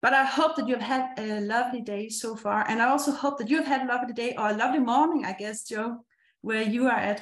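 Speaking very fast, a woman with a Danish accent uses a high pitch and fairly even intonation. The room echo can be heard. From Denmark. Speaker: meetup host. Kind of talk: event hosting. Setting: video call. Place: home room. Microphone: webcam.

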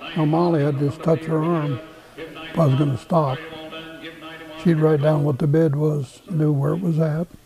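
A man with an American accent speaks at a moderate pace in a fairly high pitch, his intonation fairly even, with noticeable background noise. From Nebraska, USA. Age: 80s+. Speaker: retired livestock auctioneer, former world champion. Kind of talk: interview answer. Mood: warm, reminiscing. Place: home room. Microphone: lapel.

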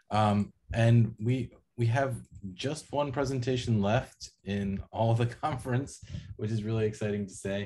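Speaking at a fairly slow pace, a man uses a fairly low pitch and a dark, mellow, somewhat breathy tone with ordinary pitch variation. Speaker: panel moderator, academic; panel moderator. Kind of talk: panel moderation. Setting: video call. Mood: warm, enthusiastic. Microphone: webcam.

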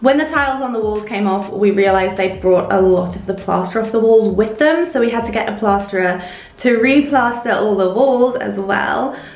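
A woman at a moderate pace, with audible room echo and faint music in the background. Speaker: home vlogger. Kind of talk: casual vlog chat. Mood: cheerful, chatty. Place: bathroom. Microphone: phone near.

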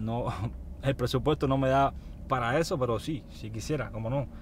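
Against light background noise, a man speaks at a moderate pace in a somewhat breathy voice with ordinary pitch variation, the sound dry with no echo. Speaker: truck driver vlogger. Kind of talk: casual vlog chat. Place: car. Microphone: phone near.

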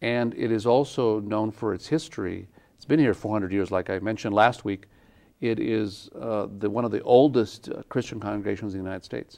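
A man in a New Mexican accent talks at a fairly quick pace and fairly low pitch, with ordinary pitch variation and big swings in loudness over a quiet background. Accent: New Mexican American English. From Santa Fe, New Mexico, USA. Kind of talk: interview answer. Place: studio. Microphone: lapel.

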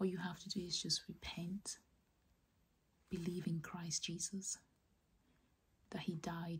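Whispering at a fairly slow pace, the speaker is soft-spoken and somewhat breathy. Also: woman. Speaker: ASMR creator. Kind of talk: whispered personal testimony about faith. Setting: close-mic, ASMR style. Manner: whispered, soft, slow. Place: home room.

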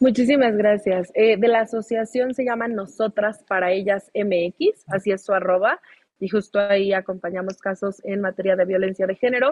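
Her medium-pitched voice moves at a moderate pace, as this woman keeps fairly even intonation. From Mexico. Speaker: lawyer. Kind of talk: live talk show interview. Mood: earnest, firm. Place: home room. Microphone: video call.

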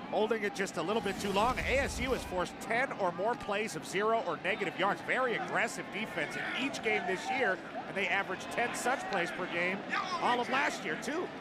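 Over noticeable background noise, a man with a high pitch and ordinary pitch variation talks at a fairly quick pace. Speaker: color analyst. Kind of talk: live sports commentary, analysis. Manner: explanatory, conversational, energetic.

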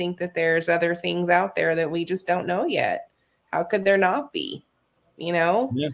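A woman talks at a medium pitch. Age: 40s. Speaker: paranormal investigator. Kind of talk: casual chat. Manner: hesitant, many fillers.

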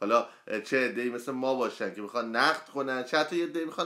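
Against a quiet background, a man's bright, sharp tone carries ordinary pitch variation. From Iran, Karaj; Iran. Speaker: poet and book reviewer; poet, book reviewer. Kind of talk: book review livestream. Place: home room. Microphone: phone near.

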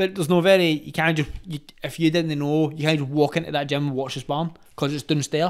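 Talking very fast in a Glaswegian accent, a man keeps his fairly high voice in a flat monotone. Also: quiet background. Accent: Glaswegian Scottish. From Glasgow, Scotland (Gorbals); Glasgow. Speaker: retired professional boxer; podcast guest. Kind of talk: casual chat. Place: home room. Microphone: studio mic.

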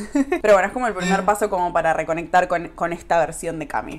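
Speaking at a very fast pace, a woman with an Argentine accent uses lively intonation at a medium pitch. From Argentina. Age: 20s. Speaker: YouTuber. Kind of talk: vlog monologue. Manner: casual, with laughs. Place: kitchen. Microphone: phone near.

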